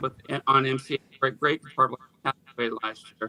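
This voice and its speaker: With an American accent and a bright, sharp tone, a man talks at a fairly quick pace in a dry, close sound with no echo. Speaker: rock musician. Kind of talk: casual interview. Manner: halting, frequent fillers.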